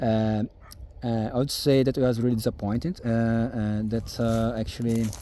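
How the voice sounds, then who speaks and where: A man with a strong Brazilian accent speaks at a medium pitch in a dark, mellow tone. His delivery is monotone and flat, at a moderate pace and very even loudness. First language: German and Portuguese. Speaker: farmer. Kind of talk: casual vlog talk. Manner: halting, many fillers.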